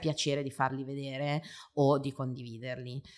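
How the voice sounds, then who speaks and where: On a very clean recording with a silent background, a woman speaks at a very deep, low pitch. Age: 40s. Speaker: marketing professional and parenting influencer. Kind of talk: interview. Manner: talkative.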